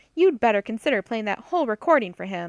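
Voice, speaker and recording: Doing a put-on character voice, a woman growls at a fairly high pitch and a very fast pace. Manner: growling, stern.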